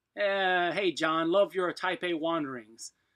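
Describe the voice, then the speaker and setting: The man's pitch is high and his tone bright and sharp. The sound is dry and close, with no echo. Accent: eastern US. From US East. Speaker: blacksmith. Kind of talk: live stream chat. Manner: casual, rambling with fillers.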